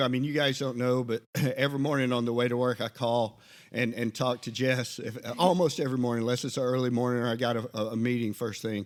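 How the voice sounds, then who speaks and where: Talking at a very fast pace, a man keeps a medium pitch with monotone, flat intonation. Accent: Southern US. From Alabama. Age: 50s. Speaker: podcast co-host, Army veteran. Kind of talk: casual chat. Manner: halting.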